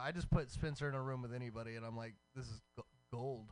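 A man with an American accent at a fairly quick pace, with music in the background. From Texas. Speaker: radio host. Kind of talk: casual chat. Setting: studio. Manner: animated.

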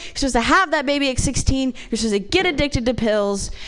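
Over noticeable background noise, a woman talks with an American accent. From Ohio, small town. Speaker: comedian. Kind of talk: stand-up.

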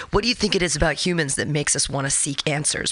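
The speaker is a woman. Noticeable background noise runs through the clip. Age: 40s. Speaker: radio host. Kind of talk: casual interview.

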